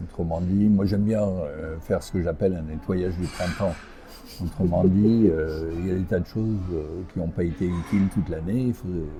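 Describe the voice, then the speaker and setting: A man with a very deep, low voice speaks at a moderate pace with fairly even intonation as music plays in the background. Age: 70s. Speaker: executive coach and entrepreneur. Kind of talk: interview. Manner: hesitant, many fillers.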